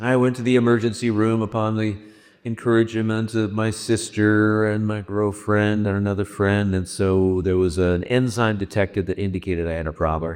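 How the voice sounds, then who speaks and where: A man with an American accent speaks at a moderate pace in an unremarkable speaking voice, his fairly low pitch carried by fairly even intonation. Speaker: radio host. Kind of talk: speech to a concert audience. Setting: stage with audience. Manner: casual, joking.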